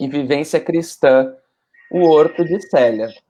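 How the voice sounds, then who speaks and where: Speaking in a Rio Grande do Sul accent, a man talks at a fairly slow pace with lively intonation. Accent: gaúcho accent (Rio Grande do Sul). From southern Brazil, Porto Alegre. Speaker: spiritist speaker. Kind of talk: casual talk.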